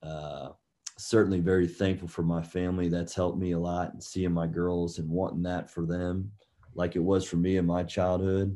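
A man's very deep, low, dark and mellow voice with an American accent, monotone, flat intonation and a moderate pace over a quiet background. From US South, Georgia (Marietta, near Atlanta). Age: 30s. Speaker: basketball coach. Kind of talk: interview.

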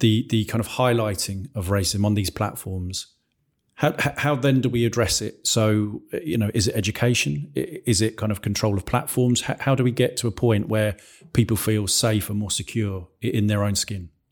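On a very clean recording with a silent background, the speaker keeps a moderate pace and ordinary pitch variation. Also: man. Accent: English. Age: 40s. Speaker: school podcast host, staff member. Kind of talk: casual discussion.

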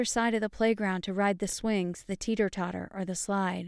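In a plain, everyday voice, a woman with an American accent speaks at a moderate pace and medium pitch. The recording is very clean, with a silent background. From upstate New York. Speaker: podcast host and memoir author. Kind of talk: reading aloud from own memoir; personal storytelling monologue.

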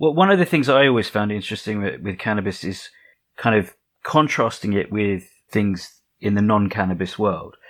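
A man with a plain, everyday voice speaks at a moderate pace and fairly low pitch, with ordinary pitch variation. The recording is very clean, with a silent background. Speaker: podcast host. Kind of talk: interview.

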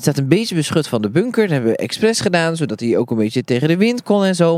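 Pitch swinging very widely, a man rushes along at a very fast pace. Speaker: gardening podcast co-host, allotment gardener. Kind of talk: casual chat during a garden tour. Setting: outdoors in an allotment garden.

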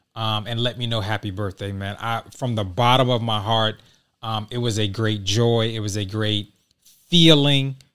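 The man has an unremarkable speaking voice at medium pitch, with fairly even intonation. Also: very clean recording, silent background. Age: 40s. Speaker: podcast host. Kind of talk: casual monologue.

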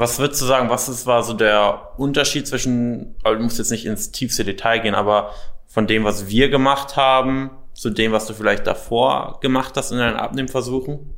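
With a normal speaking voice, a man talks at a medium pitch using fairly even intonation. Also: moderate pace. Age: young. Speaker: weight loss coach. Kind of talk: interview.

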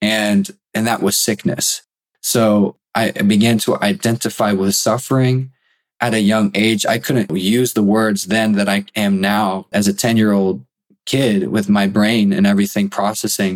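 A man speaks in a normal speaking voice, fairly low in pitch, with fairly even intonation. His loudness stays very even, and his pace is fairly slow. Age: 20s. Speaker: college student sharing illness testimony. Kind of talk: testimony.

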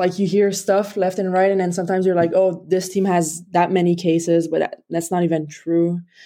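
Speaking in a French accent, a woman uses a fairly low pitch and a dark, mellow tone, her intonation monotone and flat. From Quebec. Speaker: pro hockey player. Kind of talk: casual interview. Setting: video call.

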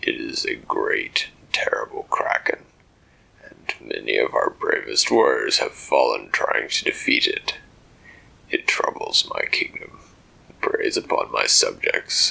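Fairly slow in pace, a man talks. He uses a put-on character voice. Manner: haughty, regal, mocking.

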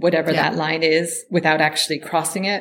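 A woman speaks at a fairly low pitch. Her voice carries vocal fry. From United States. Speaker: poet. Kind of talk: interview.

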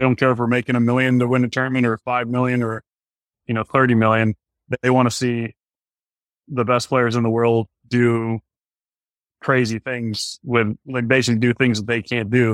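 Long, frequent pauses break up monotone, flat intonation on a very clean recording with a silent background and a dry, close sound with no echo. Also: man, medium pitch for a man, moderate pace. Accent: American. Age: 30s. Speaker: pro golfer. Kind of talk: casual chat.

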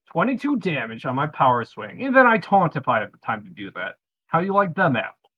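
A fairly high-pitched man's voice with vocal fry, very wide pitch swings and a fairly quick pace. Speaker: tabletop game player. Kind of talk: casual banter in a game session.

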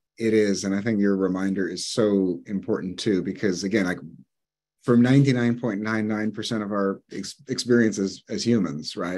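Using a plain, everyday voice, a man speaks at a moderate pace with fairly low pitch and fairly even intonation. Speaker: psychologist and author. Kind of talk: interview. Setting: video call.

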